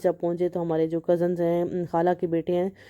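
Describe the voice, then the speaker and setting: The tone is dark and mellow, delivered at a moderate pace. The sound is dry and close, with no echo. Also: woman. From Pakistan. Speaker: family vlogger. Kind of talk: vlog voiceover narration. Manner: casual with fillers.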